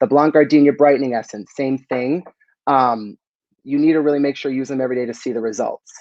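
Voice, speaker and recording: A man talks with an American accent at a very fast pace. His pitch varies in an ordinary way. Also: medium pitch for a man. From US East Coast, Boston. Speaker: beauty brand expert. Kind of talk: live stream chat.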